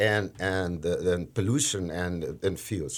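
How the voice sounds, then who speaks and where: Recorded very cleanly against a silent background, a man with a Portuguese accent speaks at a fairly low pitch. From Brazil. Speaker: trading manager in energy industry. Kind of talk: podcast interview. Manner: halting, frequent fillers and restarts.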